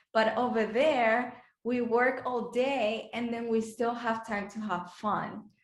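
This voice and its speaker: A woman speaks with a slight Dominican accent at a very slow pace. Her fairly high voice stays flat and monotone, with audible room echo. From Dominican Republic. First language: Spanish. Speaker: beauty pageant contestant. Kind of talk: interview. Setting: video call. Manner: halting, many fillers.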